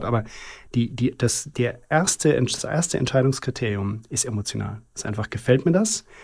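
This man's voice is somewhat breathy and shows ordinary pitch variation. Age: 40s. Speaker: luxury watch company CEO. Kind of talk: interview conversation. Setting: company podcast studio. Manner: fluent, articulate.

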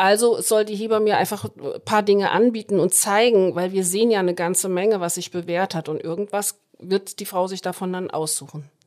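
This woman has an unremarkable speaking voice, medium in pitch, with fairly even intonation. She talks at a fairly quick pace with hardly any pauses. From Hesse, Germany. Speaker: head midwife. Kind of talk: podcast interview.

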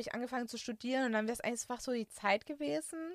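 Her voice is bright and sharp, fairly high in pitch, and the sound is dry and close with no echo. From Germany, Künzelsau area (Hohenlohe, Baden-Württemberg). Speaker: IT consultant. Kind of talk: casual personal interview.

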